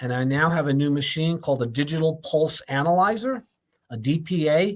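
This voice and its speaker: A man speaks at a fairly quick pace in an unremarkable speaking voice, fairly high in pitch with ordinary pitch variation. The recording is very clean, with a silent background. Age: 60s. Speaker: health show host, doctor. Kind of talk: live health talk show monologue. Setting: live stream. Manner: casual, repetitive, some stumbling.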